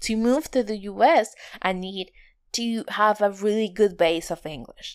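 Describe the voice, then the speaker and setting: A woman speaks at a fairly slow pace and a medium pitch with ordinary pitch variation, on a very clean recording with a silent background. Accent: non-native. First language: not English. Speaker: podcast host. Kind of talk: solo podcast monologue. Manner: halting.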